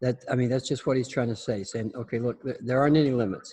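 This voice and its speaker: A man's somewhat breathy mumbling with a dark, mellow tone, medium pitch and ordinary pitch variation. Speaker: teacher leading a class. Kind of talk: lecture. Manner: halting.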